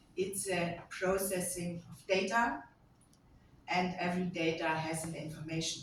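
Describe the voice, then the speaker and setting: With a German accent, a woman of medium pitch speaks at a fairly slow pace amid audible room echo. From Germany. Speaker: lecturer and AI auditor. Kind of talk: conference talk.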